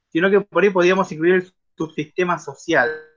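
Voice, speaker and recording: This is a man with a high pitch. He speaks with a Rioplatense accent. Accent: Argentine Spanish (rioplatense). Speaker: discussion group moderator. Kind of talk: casual discussion. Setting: video call.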